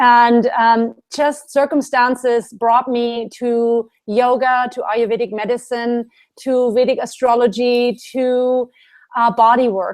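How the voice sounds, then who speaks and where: With a German accent, a woman speaks very slowly at a high pitch in a monotone, flat intonation. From Germany. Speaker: Ayurvedic specialist and yoga teacher. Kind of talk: interview.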